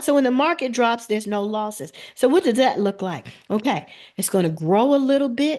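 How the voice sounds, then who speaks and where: The woman's tone is animated. She speaks at a fairly quick pace. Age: 50s. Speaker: financial advisor. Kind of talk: webinar presentation. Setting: video call.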